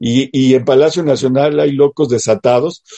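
Moderately paced, a man's voice has a dark, mellow tone. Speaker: political commentary co-host. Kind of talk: casual political chat.

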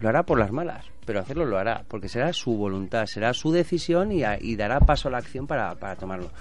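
The man's pitch swings very widely. He talks at a very fast pace. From Spain, born in Barcelona. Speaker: businessman and former bullfighter. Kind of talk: casual chat.

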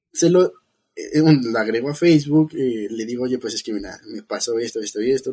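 The tone is dark and mellow. Pitch moves in an ordinary way. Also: man. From Mexico City. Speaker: biotechnologist. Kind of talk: casual chat.

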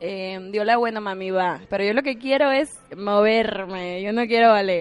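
Speaking at a fairly slow pace with a slight Cuban accent, a woman shows ordinary pitch variation. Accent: slight Cuban tone. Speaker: actress and former ballet dancer. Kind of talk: casual interview.

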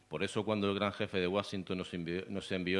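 A man speaks at a fairly quick pace in a very deep, low pitch. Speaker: poet and event organizer. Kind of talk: poetry reading. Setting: stage with audience.

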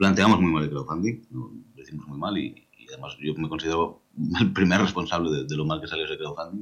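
A man's very deep, low voice with vocal fry, a very fast pace and big swings in loudness. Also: ordinary pitch variation. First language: Catalan (bilingual with Spanish) (speaking Spanish). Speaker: video game writer. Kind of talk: interview.

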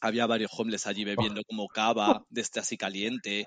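A man talks at a fairly quick pace. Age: 30s. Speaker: podcast co-host. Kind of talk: casual chat.

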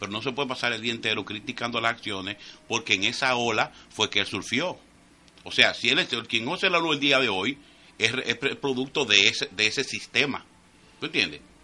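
Over a quiet background, a man with a normal speaking voice talks at a medium pitch and a fairly quick pace with lively intonation. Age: 50s. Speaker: radio panelist. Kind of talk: casual chat.

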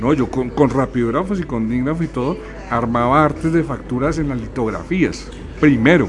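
On a recording with noticeable background noise and audible room echo, a man speaks at a moderate pace with a medium pitch and ordinary pitch variation. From Colombia. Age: 50s. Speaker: graphic designer and filmmaker. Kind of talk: interview. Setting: bar venue radio studio.

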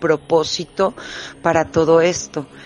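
With a Mexican accent, a woman talks over noticeable background noise. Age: 40s. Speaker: witch. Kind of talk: testimony. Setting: remote connection.

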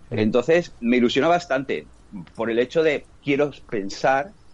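Speaking in a Castilian accent, a man keeps a moderate pace and a medium pitch with lively intonation. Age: 40s. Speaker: sports fan commentator. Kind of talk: casual chat.

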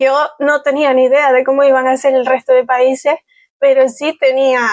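A woman's high-pitched voice in a Canary Islands accent, fairly slow with long, frequent pauses, monotone and flat, at very even loudness, with a dry, close sound and no echo. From Canary Islands, Spain. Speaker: travel blogger. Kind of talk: casual chat.

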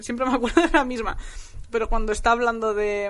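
Audible room echo surrounds this speaker. She is a woman talking at a very fast pace. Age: 20s. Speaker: novelist. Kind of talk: casual chat.

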